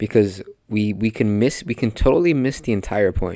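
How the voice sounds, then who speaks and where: A man with a Spanish accent speaks in a fairly low pitch with an animated tone at a moderate pace, on a very clean recording with a silent background. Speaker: podcast host and preacher. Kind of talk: sermon.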